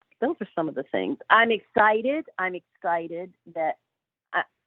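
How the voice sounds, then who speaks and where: A woman's fairly low voice unfolds at a fairly unhurried tempo. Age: 60s. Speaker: animal sanctuary founder. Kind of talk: interview. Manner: halting.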